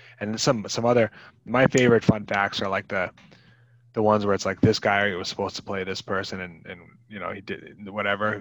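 An ordinary speaking voice moves at a fairly quick pace with fairly even intonation over a quiet background. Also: man. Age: 30s. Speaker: podcast co-host, former video rental clerk. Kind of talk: casual chat.

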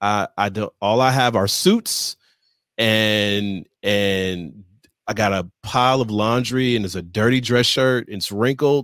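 A man with an unremarkable speaking voice talks at a fairly slow pace and a fairly low pitch, with ordinary pitch variation. The sound is dry and close, with no echo. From Michigan, Detroit area. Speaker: leadership consultant and author. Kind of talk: interview.

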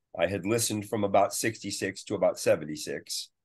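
A man speaks with a Californian accent. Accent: Californian American. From US West Coast, San Francisco Bay Area. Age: old. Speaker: guitarist. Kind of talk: interview.

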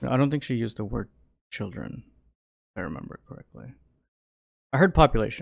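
Speaking at a very fast pace yet with long, frequent pauses, a man with a medium pitch uses lively intonation and vocal fry, his loudness swinging widely. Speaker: podcast co-host. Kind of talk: casual chat.

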